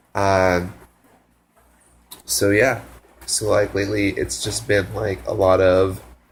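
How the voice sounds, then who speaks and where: Somewhat breathy and fairly low in pitch, a man speaks with ordinary pitch variation and long, frequent pauses. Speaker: volunteer abroad vlogger. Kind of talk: casual video diary. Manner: halting, many fillers.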